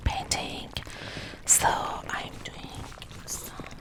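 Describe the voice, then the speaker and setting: Very slow whispering against noticeable background noise. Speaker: watercolor painter and ASMR creator. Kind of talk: casual talk to camera, teaching tips. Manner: casual, explanatory, with hesitations.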